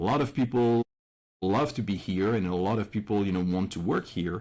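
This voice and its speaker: A man with a French accent, fairly low in pitch and fairly quick in pace, on a very clean recording with a silent background. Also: ordinary pitch variation, very even loudness. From France. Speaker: immigrant entrepreneur. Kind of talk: interview.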